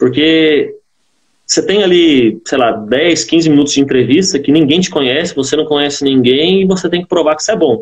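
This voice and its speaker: A man with a plain, everyday voice, fairly high in pitch with ordinary pitch variation, at a moderate pace. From Brazil, southern Minas Gerais. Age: 20s. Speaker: agricultural engineer. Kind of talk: interview.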